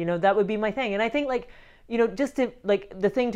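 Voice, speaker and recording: A woman speaks with a Scottish accent. Her tone is dark and mellow. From Scotland. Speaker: film writer-director. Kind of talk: interview.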